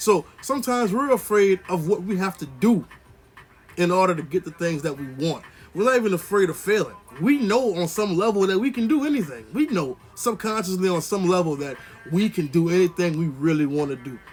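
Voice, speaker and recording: Over music in the background, a man with a high voice talks fairly quickly with lively intonation. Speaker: motivational vlogger. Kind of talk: motivational monologue. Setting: indoors, on camera. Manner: casual, conversational.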